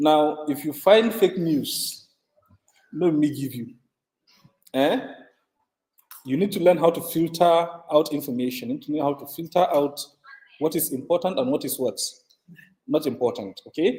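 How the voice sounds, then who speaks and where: A man's fairly high-pitched voice with lively intonation, big swings in loudness and long, frequent pauses. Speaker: lecturer. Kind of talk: lecture. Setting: classroom with online participants. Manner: fast.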